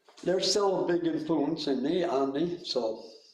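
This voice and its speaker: Speaking very slowly, a man with a high pitch uses ordinary pitch variation, and audible room echo surrounds his voice. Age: 70s. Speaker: musician, guitar player. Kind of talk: panel interview. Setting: video call webinar. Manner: halting.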